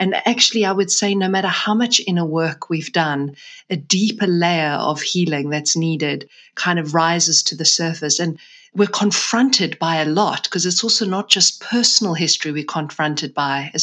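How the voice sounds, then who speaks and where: A woman's plain, everyday voice, fairly low in pitch, with ordinary pitch variation at a moderate pace. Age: 40s. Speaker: author and menstrual cycle educator. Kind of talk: interview.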